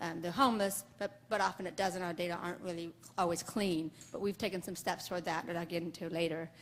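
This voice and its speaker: A woman with a fairly low voice talks at a very fast pace, keeping her intonation fairly even. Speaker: public health epidemiologist. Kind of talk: conference presentation. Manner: mumbly, many fillers.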